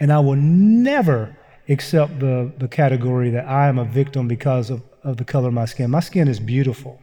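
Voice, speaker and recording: A man's dark, mellow, somewhat breathy voice at a fairly quick pace, with ordinary pitch variation. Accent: American. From US South, Eastern Kentucky. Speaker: seminary professor and author. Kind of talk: live Q&A interview. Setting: stage with audience.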